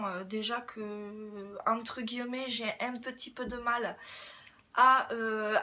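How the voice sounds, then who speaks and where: Her tone bright and sharp, a woman speaks with fairly high pitch and monotone, flat intonation. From southwest France, Toulouse area. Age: 30s. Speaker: beauty YouTuber. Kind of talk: casual Q&A vlog. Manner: hesitant, many fillers.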